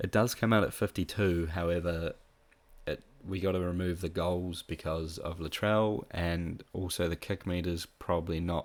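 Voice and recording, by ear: Low in pitch, a man speaks with fairly even intonation. His pace is fairly slow.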